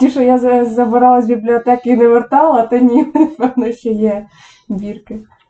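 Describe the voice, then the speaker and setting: A woman with a high pitch speaks at a moderate pace and with fairly even intonation. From Ukraine, Poltava region. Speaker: online psychologist. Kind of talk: casual chat. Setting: home kitchen.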